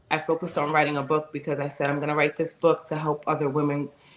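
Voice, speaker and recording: A woman speaks at a very fast pace in a New York accent. Her pitch is very deep and low. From US Northeast, Bronx, New York. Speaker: domestic violence advocate and author. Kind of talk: testimony.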